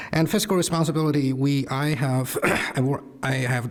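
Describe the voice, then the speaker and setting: A fairly high-pitched male voice over noticeable background noise. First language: not English. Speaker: school board candidate. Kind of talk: candidate forum statement. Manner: halting, many fillers.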